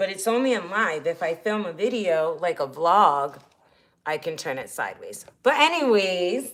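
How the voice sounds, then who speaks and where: A woman talks at a moderate pace in a medium-pitched voice. Her intonation is lively. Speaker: RV lifestyle vlogger. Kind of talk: casual livestream chat while cooking. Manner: loud.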